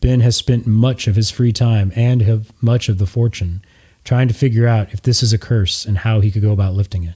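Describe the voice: What the recording offers is plain reading aloud.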